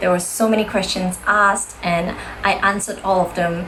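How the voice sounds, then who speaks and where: A woman speaks at a moderate pace in a medium pitch with fairly even intonation, with audible room echo and noticeable background noise. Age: 20s. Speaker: model and host. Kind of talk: promotional video message.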